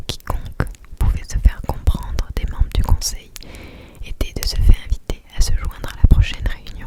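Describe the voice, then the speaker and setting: A woman whispers with big swings in loudness, over noticeable background noise. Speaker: ASMR creator. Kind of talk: whispered ASMR book reading by the fire. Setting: studio with close microphone. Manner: whispered, soft, slow.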